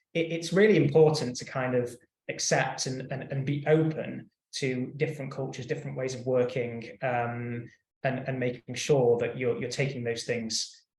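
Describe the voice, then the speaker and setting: With a British accent, this somewhat breathy voice moves at a moderate pace with fairly even intonation. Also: man, medium pitch for a man. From UK. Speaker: in-house counsel panelist. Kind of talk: panel discussion. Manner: halting, many repetitions.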